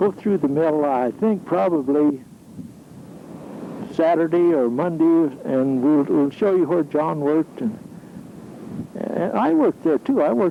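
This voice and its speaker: Amid noticeable background noise, a man with a fairly high pitch and ordinary pitch variation speaks at a fairly slow pace with long, frequent pauses. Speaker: amateur videographer, retired mill worker. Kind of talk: home video narration.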